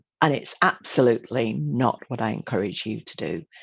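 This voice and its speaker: Against a quiet background, a woman speaks with a British accent. She keeps a moderate pace, with vocal fry. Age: 60s. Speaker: image consultant and trainer. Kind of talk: webinar presentation. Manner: animated.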